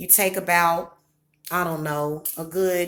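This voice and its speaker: A woman with a Southern US accent, a fairly low pitch, a bright, sharp tone and monotone, flat intonation. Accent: Southern accent, deepened. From US Midwest. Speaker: psychic and small business owner. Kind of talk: casual livestream chat. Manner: casual, chatty.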